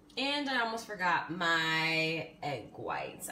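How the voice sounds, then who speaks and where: A woman talks with lively intonation while noticeable background noise fills the clip. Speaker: fitness vlogger. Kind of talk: casual vlog chat. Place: kitchen. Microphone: phone near.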